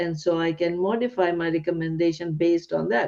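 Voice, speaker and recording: This woman has a non-native accent and a dark, mellow tone, and she talks at a moderate pace. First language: not English. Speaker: psychiatrist and podcast host. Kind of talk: interview conversation. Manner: halting, repeats words.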